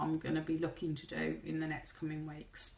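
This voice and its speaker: In a Brummie accent, a woman speaks with a fairly low pitch. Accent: Birmingham (Brummie). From Birmingham, English Midlands. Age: 50s. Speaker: vlogger. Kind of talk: casual vlog monologue. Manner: hesitant, many ums.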